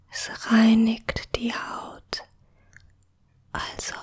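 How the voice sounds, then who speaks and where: Whispering at a very slow pace, a woman speaks in a soothing tone. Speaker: ASMR creator. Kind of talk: ASMR whisper tutorial. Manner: hushed, slow and soothing, whispered softly.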